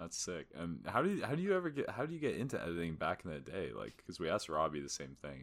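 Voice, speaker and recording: Very fast and full of vocal fry, a man speaks with lively intonation. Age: 20s. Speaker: podcast co-host. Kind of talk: casual chat.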